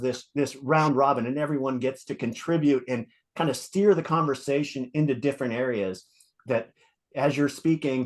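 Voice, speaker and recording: A man's fairly high voice at a fairly quick pace, an unremarkable speaking voice with ordinary pitch variation over a quiet background. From United States. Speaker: podcast co-host, rock fan. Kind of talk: casual chat.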